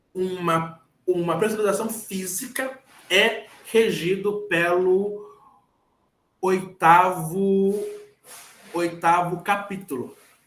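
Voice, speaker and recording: A man's high-pitched voice at a very slow pace with long, frequent pauses and fairly even intonation, amid audible room echo. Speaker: engineer giving a lecture. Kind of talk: lecture. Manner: halting, repeats words.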